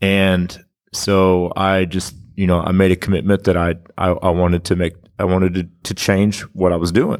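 In a very clean recording with a silent background, a man with an American accent speaks at a moderate pace in a very deep, low, monotone voice. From Kansas. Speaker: auto repair shop owner. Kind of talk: casual chat. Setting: recorded live at a conference.

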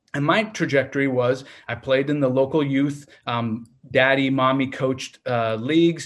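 A man speaks with an American accent at a medium pitch. His pace is moderate and his intonation fairly even. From US Pacific Northwest, Portland, Oregon. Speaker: family medicine physician and youth soccer club director. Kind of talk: interview. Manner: hesitant, many fillers.

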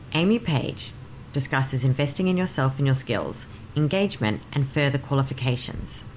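This woman has a very deep, low pitch and an Australian accent. She speaks at a moderate pace with ordinary pitch variation and very even loudness. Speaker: podcast host. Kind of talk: scripted intro and outro.

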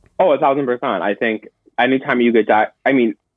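At a very fast pace, the words come in an American accent. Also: man. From Minnesota (Minneapolis), US Midwest. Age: 20s. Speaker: college student, model and rare disease patient. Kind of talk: interview.

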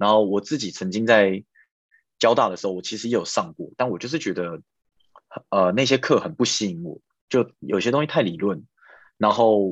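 A man with a Taiwanese accent, fairly low in pitch, with lively intonation, a fairly quick pace and long, frequent pauses, in a quiet background. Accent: Taiwanese Mandarin. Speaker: software engineer. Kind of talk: casual interview. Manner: hesitant, many fillers.

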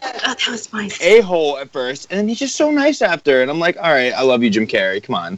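A man with a high pitch and very wide pitch swings at a fairly quick pace, over noticeable background noise. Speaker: musician. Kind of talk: casual chat. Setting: phone call. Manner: animated.

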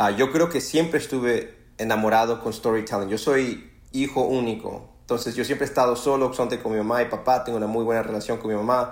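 A man speaks in a normal speaking voice at a medium pitch. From Ecuador, raised in Los Angeles from age 7. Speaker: screenwriter and author. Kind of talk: interview conversation.

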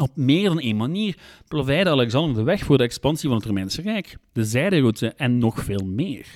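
This man's voice sits at a medium pitch and swings very widely in pitch at a moderate pace. The recording is very clean, with a silent background. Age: 30s. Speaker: history podcaster. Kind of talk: scripted narration.

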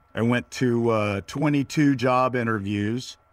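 A man with an American accent has a plain, everyday voice at medium pitch with fairly even intonation. The recording is very clean, with a silent background. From US, Northern Virginia. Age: 50s. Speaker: entrepreneur, vertical farming startup founder. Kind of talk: interview conversation.

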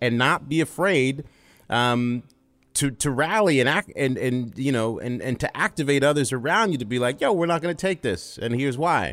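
This man has an ordinary speaking voice at medium pitch and a moderate pace. His intonation is lively, and the recording is very clean with a silent background. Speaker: sportscaster and producer. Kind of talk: casual chat.

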